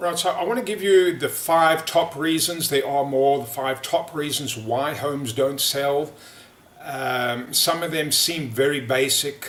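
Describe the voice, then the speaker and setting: Against noticeable background noise, a man speaks at a fairly slow pace in a fairly high pitch with ordinary pitch variation. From South Africa. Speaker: real estate agent. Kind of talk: sales pitch. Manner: halting, many fillers.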